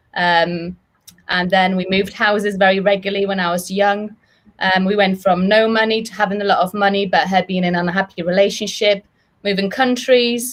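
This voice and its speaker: Speaking with a monotone, flat intonation, a woman keeps to a medium pitch and a fairly quick pace. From Poland. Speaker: business owner, former midwife. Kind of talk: interview.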